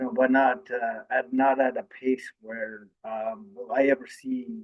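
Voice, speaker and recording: Speaking at a fairly slow pace, a man uses a medium pitch with ordinary pitch variation. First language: Ojibwe. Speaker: university student and community panelist. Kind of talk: panel discussion. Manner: halting, many fillers.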